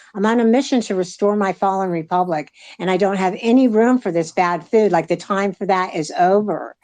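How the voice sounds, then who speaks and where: Against a quiet background, a woman with a plain, everyday voice talks at a fairly quick pace and medium pitch, with ordinary pitch variation. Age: 60s. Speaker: political activist. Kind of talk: casual chat. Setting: live audio chat room.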